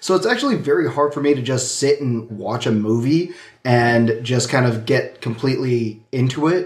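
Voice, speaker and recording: The pace is moderate, with ordinary pitch variation. It is a normal speaking voice. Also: man, medium pitch for a man. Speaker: co-host. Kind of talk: casual chat. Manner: joking.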